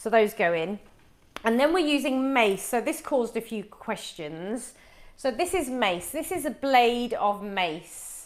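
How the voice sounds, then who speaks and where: At a fairly slow pace, a woman speaks with a fairly high pitch. Her pitch swings very widely. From West Midlands, England (Wolverhampton). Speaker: cooking show host. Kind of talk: live cooking demonstration. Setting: home kitchen, livestream.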